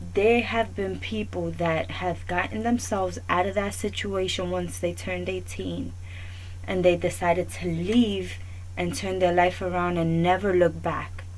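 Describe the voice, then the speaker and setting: A woman with a New York accent at a fairly slow pace, with audible room echo. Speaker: talk show host. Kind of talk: opinion monologue.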